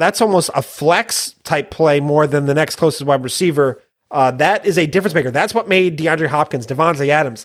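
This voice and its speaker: At a fairly quick pace, a man with an ordinary speaking voice talks at a fairly high pitch, with ordinary pitch variation and very even loudness. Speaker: fantasy football podcast co-host. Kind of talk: casual banter, fantasy football talk. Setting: recording late at night. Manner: excitable, jokey.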